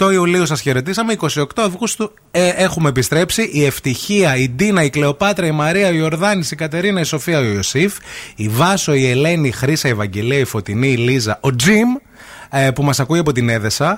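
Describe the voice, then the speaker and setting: Heard over noticeable background noise, the speech moves at a moderate pace with very wide pitch swings and very even loudness. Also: man, fairly high pitch for a man. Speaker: radio host. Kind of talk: casual chat. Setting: studio. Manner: animated.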